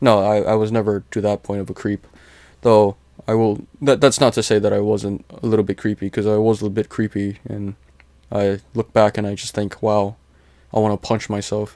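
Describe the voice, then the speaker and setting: At a moderate pace, a man speaks in a fairly low, dark, mellow tone with monotone, flat intonation. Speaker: vlogger. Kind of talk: casual monologue. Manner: halting.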